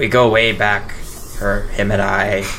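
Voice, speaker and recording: Over clear background noise, a man uses a put-on character voice at a fairly low pitch. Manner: swaggering, roleplay.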